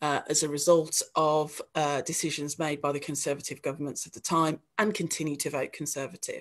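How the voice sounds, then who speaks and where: A woman's very deep, low voice in a West Midlands accent, monotone and flat, at a fairly quick pace with hardly any pauses. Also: quiet background. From West Midlands, England (Dudley). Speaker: local politician. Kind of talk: panel discussion.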